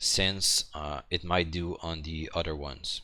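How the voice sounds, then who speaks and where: With a French accent, a man reads very slowly in a very deep, low pitch with a bright, sharp tone, on a very clean recording with a silent background. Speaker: hobbyist maker. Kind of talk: tutorial. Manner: halting, many fillers and repetitions.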